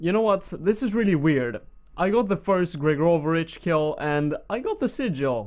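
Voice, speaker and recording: A man speaks at a moderate pace with a Swedish accent and a high pitch, his intonation lively. The recording is very clean, with a silent background. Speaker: gaming YouTuber. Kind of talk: gameplay commentary. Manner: casual, with frequent fillers.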